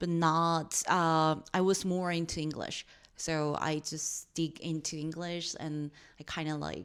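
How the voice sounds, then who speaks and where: A woman with a Korean accent speaks at a very deep, low pitch and a fairly slow pace. Her intonation is monotone and flat, in a very clean recording with a silent background. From South Korea. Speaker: podcast co-host. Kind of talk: casual chat.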